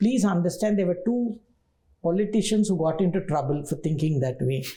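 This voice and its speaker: Speaking with a Telugu accent, a woman with a fairly low, dark, mellow and somewhat breathy voice talks at a fairly quick pace with lively intonation and very even loudness. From southern India, Tamil Nadu. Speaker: university vice chancellor. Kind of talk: interview.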